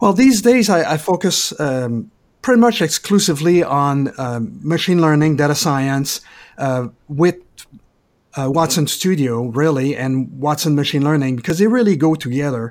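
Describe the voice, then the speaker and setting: Speaking at a moderate pace with a Quebec French accent, a man with a fairly high pitch uses lively intonation in a very clean recording with a silent background. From Quebec, Canada. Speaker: IT specialist. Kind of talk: casual interview.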